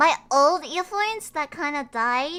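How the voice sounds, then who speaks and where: A raised, projected voice with a bright, sharp tone and very wide pitch swings comes through a very clean recording with a silent background. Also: woman. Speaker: vtuber streamer. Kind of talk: casual chat.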